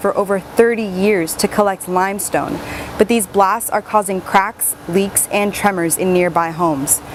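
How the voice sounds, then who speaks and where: A woman with an American accent talks at a moderate pace and medium pitch, with ordinary pitch variation. Noticeable background noise runs under her voice. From Miami, Florida, US. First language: English and Spanish (bilingual). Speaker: broadcast journalist / reporter. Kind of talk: TV news reporter delivery.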